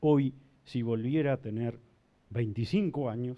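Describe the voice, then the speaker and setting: Medium pitch from a male speaker, ordinary pitch variation, delivered at a moderate pace. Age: 60s. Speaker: judge. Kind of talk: panel talk.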